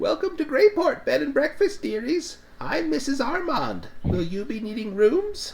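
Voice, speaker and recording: This is a put-on character voice with a high pitch. It proceeds at a moderate pace. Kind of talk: warm, fussy.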